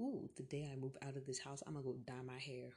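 A woman's very deep, low voice, somewhat breathy and dark and mellow, at a very fast pace. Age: 18. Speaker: solo podcaster. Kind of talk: casual monologue. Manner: rambling, casual.

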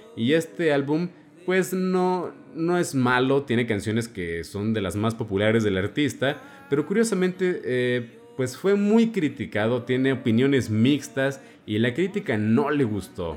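This man talks at a medium pitch and a fairly slow pace. His pitch swings very widely over noticeable background noise. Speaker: radio host. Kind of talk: music show presenting.

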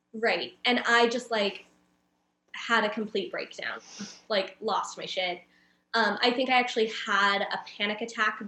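With a Californian accent, a woman talks at a fairly slow pace and fairly high pitch, her intonation fairly even and her pauses long and frequent. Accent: Californian American. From Southern California (San Diego area). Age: 30s. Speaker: community builder and creative. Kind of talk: casual interview conversation.

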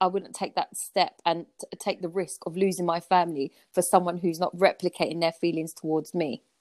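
At a fairly quick pace, a woman with a South London accent speaks at a medium pitch in a monotone, flat intonation, the sound dry and close with no echo. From Southeast London (Peckham). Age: 30s. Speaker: podcast guest, friend of host. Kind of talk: casual chat.

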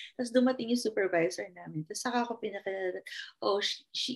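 A woman with a plain, everyday voice speaks at a medium pitch and a fairly quick pace with lively intonation. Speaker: behavior analyst. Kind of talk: casual chat.

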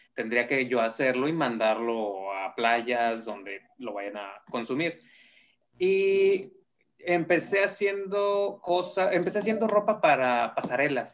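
Pitched fairly high for a man, his voice moves through very wide pitch swings. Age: 30s. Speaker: fashion designer. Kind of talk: interview.

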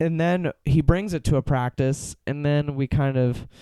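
A dark, mellow tone with an American accent comes through in a dry, close sound with no echo. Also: man. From Pittsburgh, US. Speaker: drummer. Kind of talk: casual chat.

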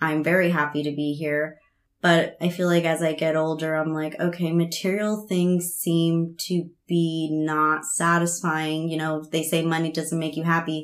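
A woman with an American accent speaks at a fairly slow pace and a fairly low pitch, her intonation monotone and flat. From US (immigrated from Veracruz, Mexico as a child). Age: 20s. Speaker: teeth whitening technician. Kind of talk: casual chat.

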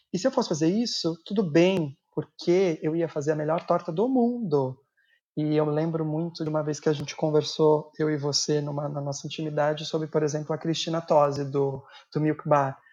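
With an unremarkable speaking voice, a man talks at a moderate pace with a fairly high pitch and ordinary pitch variation. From São Paulo, Brazil (Guarulhos). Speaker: pastry chef. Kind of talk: casual chat.

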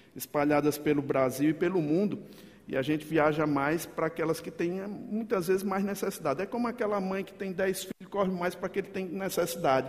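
Talking fairly quickly with a slight northeastern Brazilian accent, a man uses a high pitch and ordinary pitch variation. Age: 50s. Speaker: pastor. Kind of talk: sermon. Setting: church. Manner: animated.

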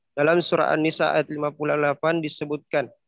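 A man speaks at a fairly high pitch. His intonation is monotone and flat, and his pace fairly quick. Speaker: student. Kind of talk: class presentation. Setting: video call.

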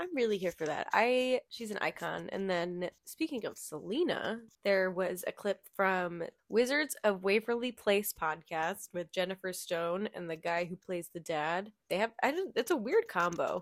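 A woman with a plain, everyday voice speaks at a medium pitch with lively intonation. Her pace is fairly slow, she hardly pauses, and the sound is dry and close with no echo. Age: 20s. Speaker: podcast co-host. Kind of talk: casual chat.

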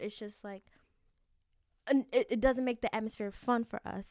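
In a very clean recording with a silent background, a woman with a plain, everyday voice speaks at a fairly high pitch with fairly even intonation and a dry, close sound with no echo. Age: young. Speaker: college student podcast co-host. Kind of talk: casual chat. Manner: giggly, frequent laughter.

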